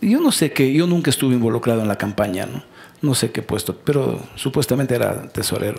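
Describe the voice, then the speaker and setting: At a fairly quick pace, a man speaks, his pitch varying in an ordinary way. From Ecuador, Loja province (Celica). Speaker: politician and economist. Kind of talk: casual interview. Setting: studio talk show. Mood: relaxed, anecdotal, smiling. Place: stage. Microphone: headset.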